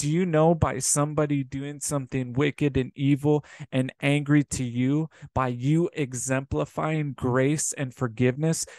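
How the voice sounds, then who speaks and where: The man speaks in a monotone, flat intonation, and the sound is dry with no echo. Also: quiet background. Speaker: preacher. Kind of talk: sermon. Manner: earnest, exhorting, repeatedly addressing listeners as brothers and sisters; warm and pastoral. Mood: earnest, exhorting. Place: home room. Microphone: webcam.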